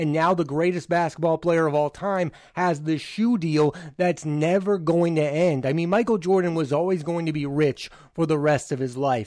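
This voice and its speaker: With a plain, everyday voice, a man speaks at a moderate pace and fairly high pitch, with ordinary pitch variation. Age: 20s. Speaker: podcast host, film reviewer. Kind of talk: solo podcast commentary.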